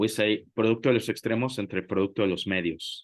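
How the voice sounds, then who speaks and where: Against a quiet background, a man speaks at a fairly quick pace with fairly even intonation, the sound dry and close with no echo. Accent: Spanish. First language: Spanish. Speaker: math tutor. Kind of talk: tutoring session. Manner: halting, many fillers.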